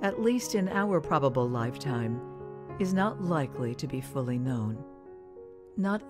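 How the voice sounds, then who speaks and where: A woman's very deep, low voice with very wide pitch swings at a fairly slow pace, music in the background. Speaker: veteran voice actor and radio announcer. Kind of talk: poetry reading with narration over music.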